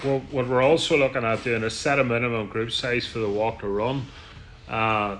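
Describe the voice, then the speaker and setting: Moderate pace and fairly even intonation from a man with a Northern Irish accent at a medium pitch. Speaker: tour guide. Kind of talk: business meeting. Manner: loud; halting.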